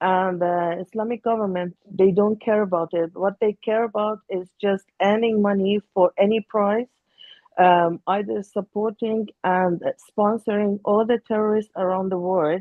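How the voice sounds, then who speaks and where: A woman's medium-pitched, flat, monotone voice at a fairly slow pace, with an Iranian accent. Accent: Iranian (Persian). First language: Persian. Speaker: Iranian opposition activist. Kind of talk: panel discussion. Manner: halting.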